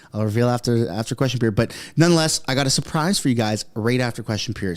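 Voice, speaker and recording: A man on a very clean recording against a silent background. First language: French. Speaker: political commentary streamer. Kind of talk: live stream commentary. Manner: casual, stumbling over words.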